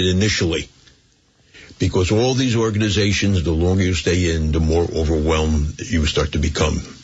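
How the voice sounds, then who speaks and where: Noticeable background noise sits behind a man speaking at a moderate pace with a very deep, low pitch. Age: 80s+. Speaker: community volunteer and philanthropist. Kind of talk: interview.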